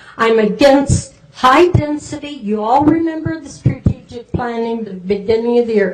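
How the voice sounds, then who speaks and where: Noticeable background noise and audible room echo surround a woman speaking with a fairly high pitch and lively intonation. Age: 80s+. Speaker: resident making public comment. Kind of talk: public comment at council meeting.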